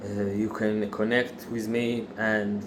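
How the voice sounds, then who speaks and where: A man talks with an Israeli accent. Room echo is audible around his voice. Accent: non-native English, Israeli. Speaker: factory worker sharing religious views. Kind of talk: religious monologue. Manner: halting, many fillers.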